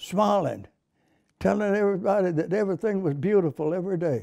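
Over a quiet background, a man with an American accent speaks at a high pitch and a moderate pace, his tone dark and mellow and his intonation lively. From United States. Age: 80s+. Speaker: war veteran. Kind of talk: interview answer. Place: home room.

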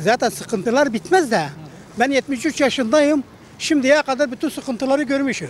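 The sound is dry with no echo, over light background noise. A man speaks at a moderate pace in an extremely high pitch, with ordinary pitch variation. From Siirt, southeastern Turkey; Turkey. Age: 70s. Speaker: passer-by interviewee; interviewee. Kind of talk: street interview. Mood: complaining, recounting hardship. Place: street. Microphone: handheld.

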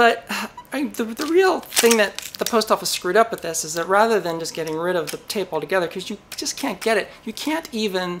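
A woman rushes through her words very fast while light noise sits in the background. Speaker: electronics hobby channel host. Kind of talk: casual vlog chat. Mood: playful, mildly exasperated. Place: workshop.

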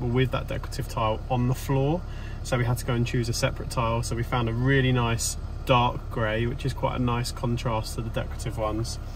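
The voice moves at a fairly quick pace with flat, monotone intonation. The sound is dry with no echo, and light background noise runs underneath. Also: man. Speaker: renovation vlogger. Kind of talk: casual vlog chat. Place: car. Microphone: phone near.

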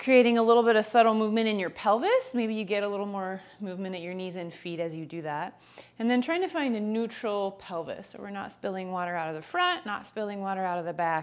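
A woman's very fast delivery with ordinary pitch variation and big swings in loudness. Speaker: yoga teacher. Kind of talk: guided yoga instruction. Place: home room.

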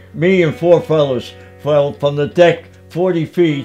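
Faint music plays in the background. Over it, a man with a fairly high pitch speaks at a very slow pace. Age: 80s+. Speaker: World War II navy veteran. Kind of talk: interview answer. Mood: earnest, reliving a frightening memory. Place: home room.

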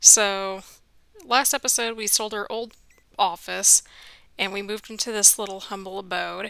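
Quiet and bright, sharp in tone, a woman speaks fairly slowly with fairly even intonation, big swings in loudness and long, frequent pauses, in a very clean recording with a silent background. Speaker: gaming youtuber. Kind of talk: let's play commentary. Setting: home at night, apartment building.

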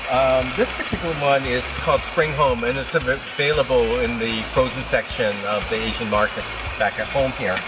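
Pitch varies in an ordinary way. Background noise is loud. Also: man, moderate pace, hardly any pauses. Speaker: cooking show host. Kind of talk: cooking tutorial. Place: garden.

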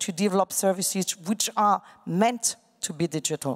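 With a French accent, a woman speaks at a moderate pace and medium pitch against a quiet background. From France. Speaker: digital bank chief executive. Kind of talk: panel discussion. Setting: stage with audience. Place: hall. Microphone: handheld.

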